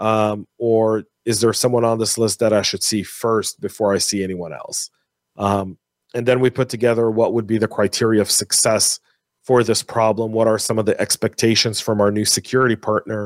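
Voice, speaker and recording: A man with an American accent speaks at a medium pitch and a moderate pace in a monotone, flat intonation, with a dry, close sound and no echo. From US, San Francisco Bay Area. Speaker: cybersecurity executive and podcaster. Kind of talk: casual interview. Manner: halting, repeats words.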